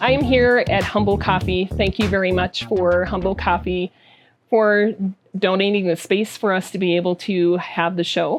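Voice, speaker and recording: A woman's medium-pitched voice over music in the background, very even in loudness, with ordinary pitch variation. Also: moderate pace. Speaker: podcast host. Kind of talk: interview question.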